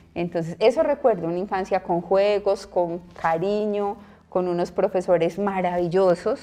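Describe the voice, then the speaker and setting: A woman speaks with a strong paisa accent at a fairly slow pace, her pitch medium with ordinary variation. Her tone is dark and mellow. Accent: paisa (Antioquia), strong. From Colombia, Medellín (Antioquia). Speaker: nun and school principal. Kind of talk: interview conversation.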